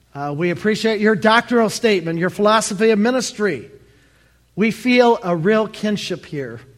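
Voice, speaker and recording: An American accent marks this speech. The pitch moves with ordinary variation. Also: man. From Michigan, Detroit area. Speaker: retired pastor, guest preacher. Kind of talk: sermon. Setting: church.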